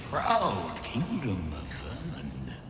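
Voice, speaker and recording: A man uses a put-on character voice at a fairly slow pace, with a clear echo and loud background noise. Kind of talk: archaic, regal speech. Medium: machinima. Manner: grave, stately.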